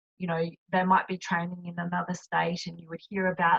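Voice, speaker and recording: Speaking in a monotone, flat intonation, a woman with an Australian accent has a fairly low pitch. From Australia, Adelaide. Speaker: retired Olympic rower and cyclist. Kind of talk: interview. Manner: halting, many fillers.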